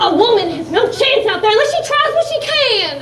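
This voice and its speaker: A woman's put-on character voice at an extremely high pitch, with very wide pitch swings, a moderate pace, slight echo, and clear background noise. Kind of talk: vaudeville stage comedy. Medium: stage play. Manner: brash, theatrical.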